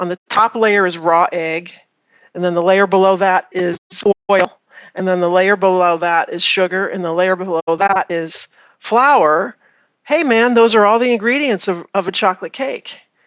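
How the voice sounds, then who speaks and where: In a normal speaking voice, a woman talks at a medium pitch and moderate pace. Her pitch variation is ordinary, and the sound is dry and close with no echo. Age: 50s. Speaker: farm consultant. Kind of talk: interview.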